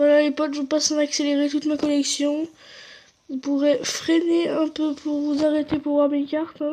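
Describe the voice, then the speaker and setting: A woman with a high pitch speaks at a moderate pace in a monotone, flat way. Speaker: gaming youtuber. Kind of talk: gameplay commentary.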